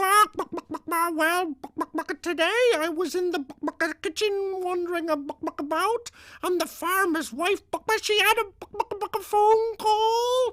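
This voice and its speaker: A put-on character voice at an extremely high pitch. It moves at a very slow pace, with long, frequent pauses. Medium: read story.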